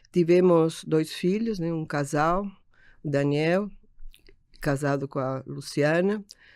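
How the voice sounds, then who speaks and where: Very slow-paced woman's voice, fairly low in pitch with ordinary pitch variation, in a very clean recording with a silent background. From Uruguay (Montevideo). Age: 70s. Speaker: architect and optician business owner. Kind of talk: interview. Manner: halting.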